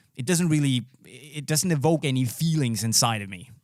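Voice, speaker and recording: Dry, close sound with no echo carries a man's fairly high voice. He speaks in a Danish accent with ordinary pitch variation. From Denmark. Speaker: podcast host. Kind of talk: casual chat.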